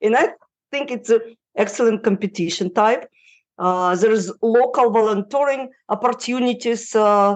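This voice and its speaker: Speaking with a non-native accent, the woman uses a fairly high pitch. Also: quiet background. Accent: foreign, non-native English. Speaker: relocation consultant. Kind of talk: podcast interview answer. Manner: hesitant, many fillers.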